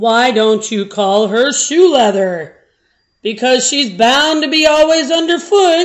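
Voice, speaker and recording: A woman puts on a character voice, pitched high and swinging very widely, at a fairly slow pace. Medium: read story. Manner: slow, folksy.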